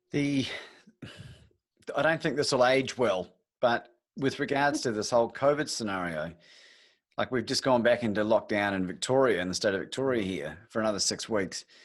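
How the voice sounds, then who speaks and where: A man with a New Zealand accent uses lively intonation and long, frequent pauses against a quiet background. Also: medium pitch for a man, moderate pace. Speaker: podcast host. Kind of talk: interview. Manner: casual.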